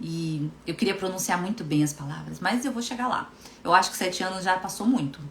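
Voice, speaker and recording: Over noticeable background noise, a woman with a Brazilian accent talks at a fairly quick pace and medium pitch. Her tone is animated and her intonation lively. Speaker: hypnotherapist and coach. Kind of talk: live stream talk. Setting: Instagram live stream.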